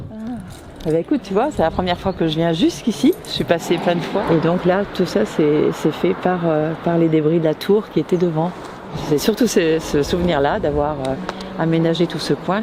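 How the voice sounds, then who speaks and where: A woman speaks at a moderate pace in a fairly low voice over noticeable background noise. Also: ordinary pitch variation. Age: 70s. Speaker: grandmother revisiting former home. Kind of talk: casual chat. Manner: halting.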